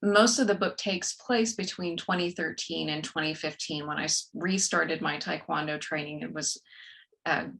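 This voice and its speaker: A woman speaks at a moderate pace in a fairly low voice with vocal fry. Her pitch variation is ordinary. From West Texas, rural. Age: 40s. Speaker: author and corporate trainer. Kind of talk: podcast interview.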